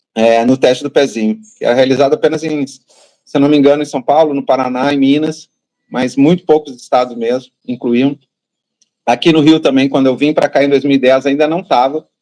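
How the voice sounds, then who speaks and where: With a southern Brazilian accent, a man speaks in a dark, mellow tone at a fairly high pitch, a fairly quick pace, and fairly even intonation. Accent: gaúcho. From southern Brazil, Rio Grande do Sul. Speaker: patient advocate, parent of child with rare disease. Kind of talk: interview.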